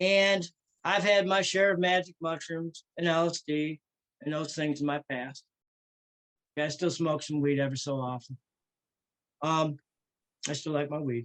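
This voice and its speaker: In a normal speaking voice, a man talks at a moderate pace with a fairly high pitch and fairly even intonation, the sound dry and close with no echo. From US Midwest. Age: 60s. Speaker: satanist leader. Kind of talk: interview. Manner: casual.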